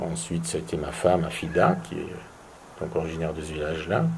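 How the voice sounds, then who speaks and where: A man's very deep, low voice, flat and monotone at a moderate pace, with audible room echo and noticeable background noise. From Belgium. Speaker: tourism entrepreneur. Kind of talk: interview. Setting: at host's home. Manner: hesitant, many repetitions.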